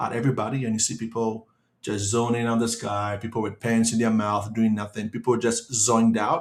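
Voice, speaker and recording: An ordinary speaking voice goes at a moderate pace with fairly even intonation. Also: man. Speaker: hypnotist giving a quit-smoking webinar. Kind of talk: online webinar presentation.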